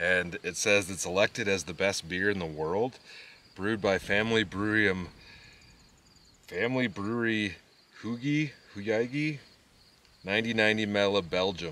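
Dry with no echo, the recording has a man speaking at a moderate pace with a fairly low pitch and ordinary pitch variation. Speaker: vlogger. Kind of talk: casual vlog chat. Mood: relaxed, amused. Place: open country. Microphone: camera far.

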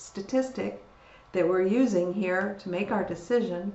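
A woman speaks at a moderate pace, with audible echo from the room. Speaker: university lecturer. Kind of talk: lecture. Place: home room. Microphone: webcam.

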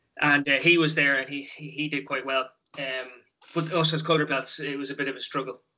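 In a Dublin accent, a man speaks at a very fast pace with a fairly high pitch and monotone, flat intonation against a quiet background. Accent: Dublin Irish. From Dublin, Ireland. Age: 30s. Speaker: taekwon-do instructor. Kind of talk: casual interview. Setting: video call. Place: home room.

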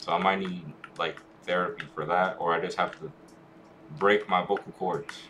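A quiet, very deep, low male voice at a moderate pace, fairly even in intonation, with long, frequent pauses. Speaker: gaming streamer. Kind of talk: live gameplay stream chat. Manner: quiet, hard to hear; occasional stutter.

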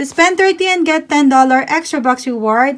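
A woman's high-pitched voice with ordinary pitch variation, at a fairly slow pace. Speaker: couponing vlogger. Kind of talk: product haul walkthrough. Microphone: phone near.

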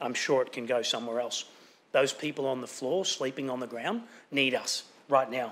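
Moderate pacing from a man with an Australian accent. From Sunshine Coast hinterland, Queensland, Australia; Queensland, Australia. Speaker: local councillor. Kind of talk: formal speech. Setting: council chamber. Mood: earnest, committed. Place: hall.

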